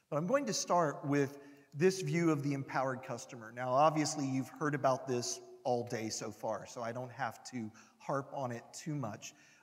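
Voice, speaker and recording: This man has a plain, everyday voice with an American accent and a fairly high pitch. His pace is moderate and his pitch variation ordinary. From United States. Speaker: industry analyst. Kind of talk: conference talk. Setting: stage with audience.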